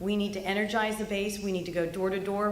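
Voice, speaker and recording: Over noticeable background noise and audible room echo, a woman speaks at medium pitch with monotone, flat intonation. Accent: American. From California. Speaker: political speaker. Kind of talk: political speech.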